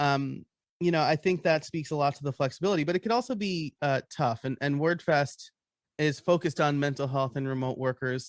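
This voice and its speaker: A man with an American accent talks at a fairly quick pace in a fairly high voice, with ordinary pitch variation. The sound is dry and close, with no echo. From US, New York. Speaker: panel moderator. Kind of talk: casual panel chat.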